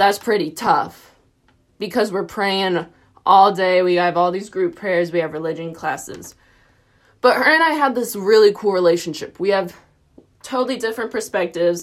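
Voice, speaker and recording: A woman with a Tennessee accent talks at a moderate pace, her medium pitch showing ordinary variation. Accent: US South, Tennessee. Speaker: college student. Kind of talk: personal reflection on a reading. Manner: animated.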